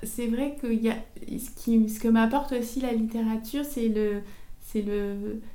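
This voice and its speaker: A woman speaks at a fairly slow pace with a fairly high pitch. Her intonation is flat and monotone, and the room echo is audible. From Paris suburbs, France. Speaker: author and screenwriter. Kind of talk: interview. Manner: halting, many repetitions and fillers.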